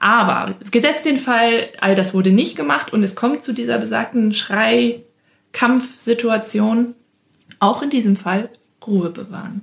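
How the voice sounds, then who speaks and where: Vocal fry runs through the speech at a fairly slow pace. The pitch variation is ordinary. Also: woman, fairly high pitch for a woman. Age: 20s. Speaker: speech therapist and childcare entrepreneur. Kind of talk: interview. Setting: studio.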